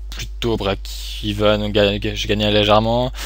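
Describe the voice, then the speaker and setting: A very deep, low male voice with a Swiss accent at a very slow pace, amid audible room echo and noticeable background noise. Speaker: online poker player and streamer. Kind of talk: live gameplay commentary. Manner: halting, many fillers.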